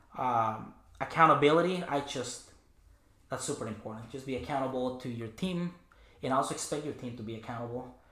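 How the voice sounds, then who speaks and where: A man talks fairly quickly in a bright, sharp tone at a medium pitch with ordinary pitch variation. Audible room echo surrounds his voice. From Mexico, Chihuahua. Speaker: cleaning business owner. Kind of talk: podcast interview. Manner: halting, many fillers.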